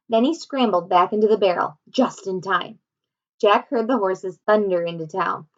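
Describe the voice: Over a quiet background, plain reading aloud with ordinary pitch variation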